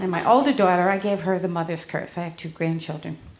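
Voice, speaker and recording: A woman with an American accent talks at a fairly quick pace. Her pitch is medium, and the room has audible echo. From Connecticut and New York, US Northeast. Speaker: stand-up comedian. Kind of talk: stand-up. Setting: stage with audience.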